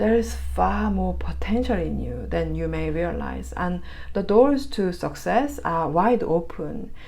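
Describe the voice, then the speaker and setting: A woman talks at a fairly slow pace. Noticeable background noise and audible room echo fill the recording. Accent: Korean. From Korea. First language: Korean. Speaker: tarot reader. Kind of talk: tarot reading; casual chat. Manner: halting, filler words.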